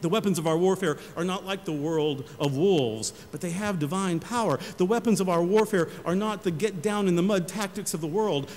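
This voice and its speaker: A high-pitched man's voice at a fairly quick pace, with ordinary pitch variation and noticeable background noise. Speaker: senior pastor giving a sermon. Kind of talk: church sermon.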